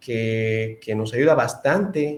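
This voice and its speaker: This is a man with an ordinary speaking voice. His pitch is medium, with ordinary variation. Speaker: engineer giving webinar lecture. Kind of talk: online lecture. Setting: webinar.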